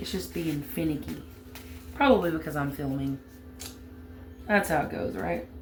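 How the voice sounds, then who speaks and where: The speaker has a strong Southern US accent and a moderate pace. Long pauses come often, over noticeable background noise. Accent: heavy Southern US. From US South, Alabama. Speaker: crafting YouTuber. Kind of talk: tutorial. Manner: casual, chatty.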